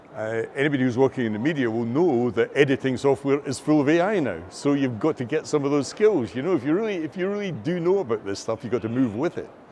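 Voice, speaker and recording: A man with a fairly high pitch and a Scottish accent, very fast pace and lively intonation. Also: hardly any pauses. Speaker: AI and learning technology expert. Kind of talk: interview. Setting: filmed at a conference.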